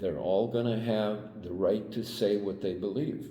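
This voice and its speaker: A man speaks in a fairly low, dark, mellow tone. His intonation is fairly even, and room echo is audible. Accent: American. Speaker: Vietnam-era military veteran. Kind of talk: interview. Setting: on camera interview. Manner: halting, with many fillers.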